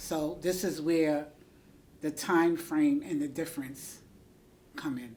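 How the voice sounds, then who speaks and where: Speaking at a very slow pace with long, frequent pauses, the voice has a New York accent, a dark, mellow tone, and fairly even intonation. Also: woman, very deep, low pitch for a woman. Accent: New York City. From New York, the Bronx. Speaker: school aide. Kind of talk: interview.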